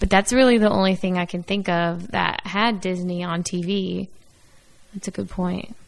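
At a moderate pace, a woman with a plain, everyday voice speaks at medium pitch with fairly even intonation. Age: 20s. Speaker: podcast co-host. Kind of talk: casual chat.

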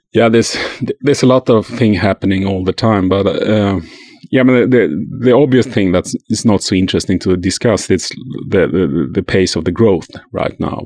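This man has a Swedish accent and a fairly low pitch. His pitch varies in an ordinary way, and the sound is dry and close with no echo. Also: moderate pace. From Sweden. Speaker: journalist and podcaster. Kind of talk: casual interview. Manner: halting, repeats words.

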